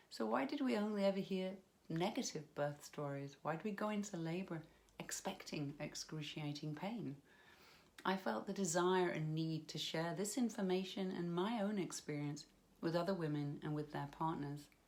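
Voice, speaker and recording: A woman's fairly low pitch, with ordinary pitch variation, at a moderate pace. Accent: British. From United Kingdom. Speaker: hypnobirthing practitioner. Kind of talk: personal story to camera.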